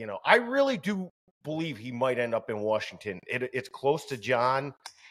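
A man talks at a moderate pace in an unremarkable speaking voice. His intonation is lively. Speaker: sports podcast co-host. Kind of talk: casual chat.

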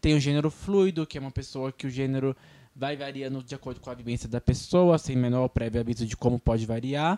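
A man's very fast speech, dark and mellow in tone, with ordinary pitch variation and a dry, close sound with no echo on a very clean recording over a silent background. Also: medium pitch for a man. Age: 20s. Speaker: podcast co-host. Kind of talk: casual chat. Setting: radio studio.

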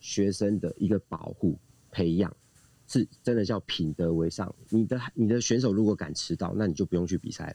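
A man talks at a moderate pace in a fairly low voice with a dark, mellow tone and ordinary pitch variation. The sound is dry and close, with no echo. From Taiwan. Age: 40s. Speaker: swimming coach. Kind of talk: casual chat. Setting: Clubhouse audio room.

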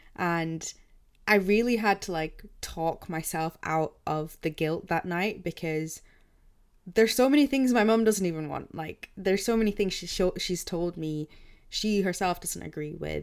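At a fairly slow pace, a woman with a British accent speaks at a medium pitch with ordinary pitch variation in a very clean recording with a silent background. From England. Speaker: podcast co-host. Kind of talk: casual chat.

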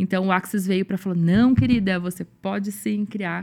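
Somewhat breathy woman's voice at medium pitch and a moderate pace. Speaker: bank clerk and consciousness facilitator. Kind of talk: casual chat.

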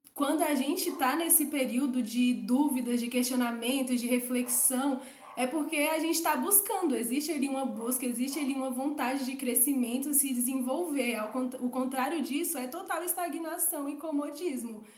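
A woman speaks at a moderate pace in a high pitch with ordinary pitch variation. Audible room echo surrounds her voice. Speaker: podcast guest. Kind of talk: casual chat.

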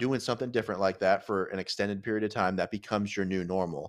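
An ordinary speaking voice from a man, fairly low-pitched and fairly quick, with fairly even intonation in a very clean recording with a silent background. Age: 30s. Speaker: podcast host. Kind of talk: casual chat. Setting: home studio.

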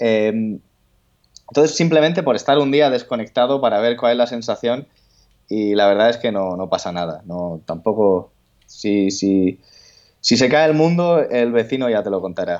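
Speech comes at a moderate pace with lively intonation. Nothing much sounds in the background. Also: man, medium pitch for a man. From Spain, coastal region. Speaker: writer. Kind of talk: interview. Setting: phone call. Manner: halting.

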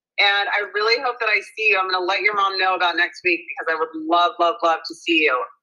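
A woman with an American accent talks at a very fast pace with hardly any pauses and ordinary pitch variation. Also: medium pitch for a woman. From Naples, Florida, also London as a child. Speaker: fashion designer. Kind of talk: casual chat. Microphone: bad connection.

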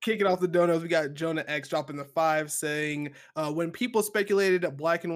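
Heard on a very clean recording with a silent background, a man with an American accent speaks with ordinary pitch variation. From North Carolina, US. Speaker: podcast co-host. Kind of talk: casual chat.

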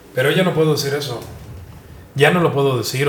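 A man's fairly high voice at a fairly quick pace, with audible room echo. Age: 50s. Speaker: journalist and digital media founder. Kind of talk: interview.

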